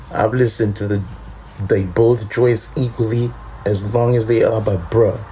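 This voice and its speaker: Noticeable background noise accompanies a man whose pitch is medium. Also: moderate pace. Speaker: podcast host. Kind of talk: casual chat. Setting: late-night home recording with co-host. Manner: low-key, laid back; animated.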